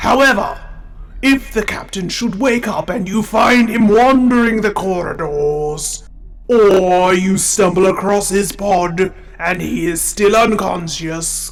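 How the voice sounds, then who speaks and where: Putting on a character voice, a man speaks with a high pitch at a fairly slow pace against light background noise. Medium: audio drama. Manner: formal, measured.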